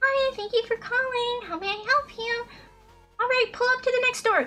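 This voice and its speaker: Soft-spoken and using a put-on character voice, the speaker talks at a moderate pace with music in the background. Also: man, extremely high pitch for a man. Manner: soft, polite.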